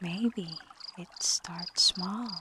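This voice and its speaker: Very slowly and in a gentle tone, a woman speaks over noticeable background noise. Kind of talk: soft-spoken ASMR reflection with scripture-inspired themes. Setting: layered with calming water and night sounds. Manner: soft-spoken, slow, gentle.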